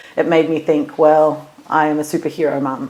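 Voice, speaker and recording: A woman with a very deep, low pitch speaks against noticeable background noise. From Los Angeles, USA. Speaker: singer and funeral celebrant. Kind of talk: interview answer.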